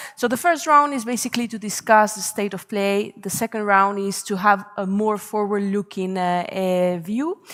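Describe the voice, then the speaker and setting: In a Spanish accent, a woman speaks at a moderate pace and medium pitch, with ordinary pitch variation and hardly any pauses. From Spain. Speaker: panel moderator, policy researcher. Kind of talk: panel discussion moderation. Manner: hesitant, many fillers.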